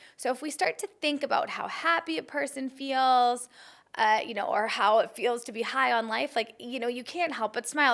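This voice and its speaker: Her voice is high-pitched with a bright, sharp tone and lively intonation. The woman talks at a fairly quick pace. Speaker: spiritual self-help coach. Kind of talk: casual talk to camera. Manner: fast.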